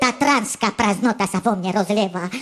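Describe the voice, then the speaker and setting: A woman performs a put-on character voice at a medium pitch. Her intonation is lively. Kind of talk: comic overacting. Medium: comedy sketch. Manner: pompous, convoluted, mixing eastern Slovak dialect.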